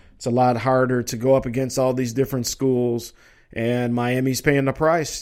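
In a very clean recording with a silent background, a man with an American accent uses an ordinary speaking voice, medium in pitch and moderate in pace. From Minnesota. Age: 40s. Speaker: sports talk radio host. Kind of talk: casual live sports talk show.

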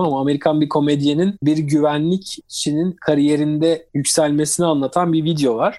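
In a very clean recording with a silent background, a man speaks at a moderate pace with a dark, mellow tone. His pitch is fairly high, and his intonation is monotone and flat. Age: 30s. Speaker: cybersecurity expert. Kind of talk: interview.

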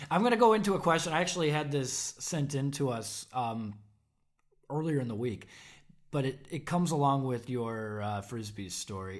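This man has an ordinary speaking voice, a medium pitch, ordinary pitch variation and a moderate pace. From Chicago suburbs. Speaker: podcast co-host. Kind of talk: casual interview chat.

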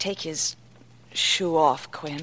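Using a put-on character voice, a woman speaks very slowly in a low, fairly bright voice with fairly even intonation.

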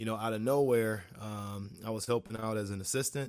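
A man with an American accent speaks in an ordinary speaking voice, medium in pitch, at a moderate pace. His intonation stays fairly even, and the recording is very clean with a silent background. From Ohio, Cleveland area (Shaker Heights). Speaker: high school sports coach. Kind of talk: casual interview chat.

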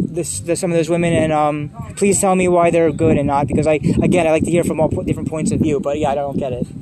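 Over noticeable background noise, a man with an American accent talks at a very fast pace and fairly high pitch. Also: fairly even intonation. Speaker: podcast host. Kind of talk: casual interview chat. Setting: outdoors at a park.

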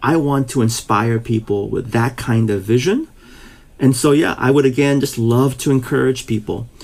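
A normal speaking voice from a man, mid-pitched, moderately paced, fairly even in intonation. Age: 50s. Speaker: pastor. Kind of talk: casual interview.

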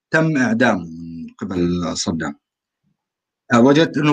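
A man's voice moves through very wide pitch swings at a fairly slow pace. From Syria, rural Aleppo. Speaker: call-in participant. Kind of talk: online panel discussion.

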